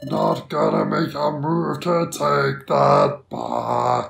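Someone uses a raspy, put-on character voice. The pace is very slow. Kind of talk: amateur villain voice acting. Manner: taunting, sneering.

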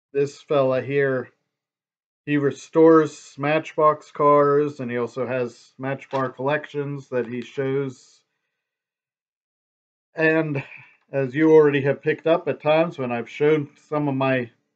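A man speaking at a very slow pace, flat and monotone, with long, frequent pauses. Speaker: vlogger. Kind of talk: casual vlog chat. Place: home room. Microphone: webcam.

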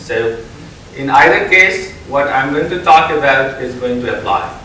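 A man is heard with audible room echo and light background noise. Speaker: keynote speaker. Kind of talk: conference keynote talk. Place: hall.

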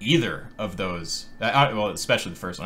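Light background noise sits behind a man with a fairly low pitch. He talks at a very fast pace with lively intonation. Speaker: streamer hosting a debate. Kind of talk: debate discussion. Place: home room.

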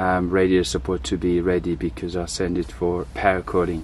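Over light background noise, a man with a very deep, low pitch speaks at a moderate pace with ordinary pitch variation, the sound dry with no echo. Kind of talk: tutorial. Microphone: phone near.

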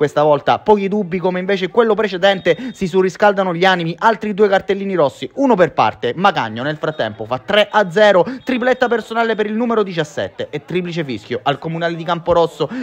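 Speaking at a fairly quick pace, a man with a high voice sounds upbeat and energetic, his intonation lively. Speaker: football commentator. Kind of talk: live football match commentary, voiced over highlight footage. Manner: upbeat, energetic and fairly formal broadcast tone.

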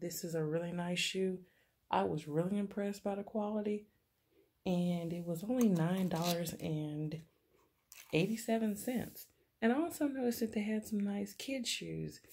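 A woman's dark, mellow voice at a moderate pace. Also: ordinary pitch variation. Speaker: haul vlogger. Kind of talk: casual vlog chat. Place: home room. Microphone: phone near.

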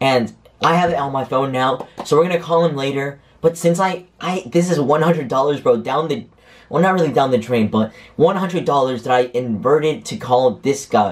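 His pace is moderate. The man's pitch variation is ordinary. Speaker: youtuber. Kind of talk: casual vlog chat. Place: home room. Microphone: camera far.

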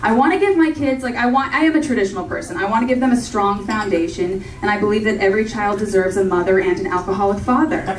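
A woman with an American accent speaks very fast at a fairly high pitch. Light background noise and audible room echo are present. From Orange County, California. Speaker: stand-up comedian. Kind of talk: stand-up comedy set with audience laughter, joke-driven storytelling. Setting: comedy club stage with live audience. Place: stage.

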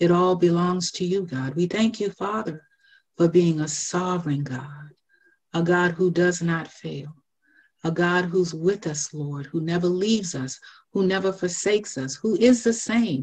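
Over a quiet background, a woman with an American accent talks at a fairly slow pace, sounding somewhat breathy. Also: fairly low pitch for a woman, ordinary pitch variation. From US South, South Carolina. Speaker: minister and Sunday school teacher. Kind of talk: personal testimony and devotional encouragement. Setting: phone prayer line. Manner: measured, earnest and reflective. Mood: reverent, earnest. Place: home room. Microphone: video call.

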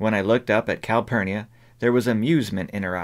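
A natural reading voice carries the recording.

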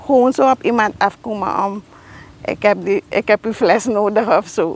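A woman speaks at a fairly slow pace. The sound is dry, with no echo. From Suriname. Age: 40s. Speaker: teacher and artist. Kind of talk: interview; tutorial. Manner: halting. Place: garden.

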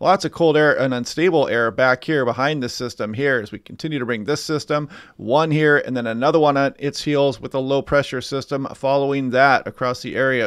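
A man talks at a fairly quick pace with fairly even intonation. The sound is dry with no echo, and the background is quiet. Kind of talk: commentary. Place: home room.

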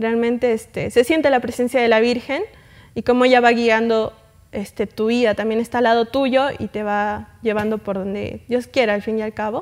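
A woman talks at a middling speed, her rather high voice keeping fairly level intonation. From Arequipa, Peru; Peru. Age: young. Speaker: guest. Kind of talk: interview. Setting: studio. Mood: calm, warm, devout. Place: studio. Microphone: lapel.

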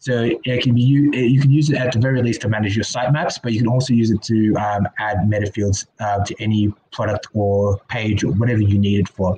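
Speaking at a fairly quick pace with few pauses, a man has a fairly low pitch, a dark, mellow tone with a slightly husky edge, and fairly even intonation.

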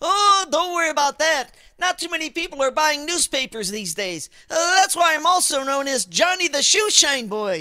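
A man uses a put-on character voice at an extremely high pitch with big pitch swings. The tone is bright and sharp, and the pace is moderate.

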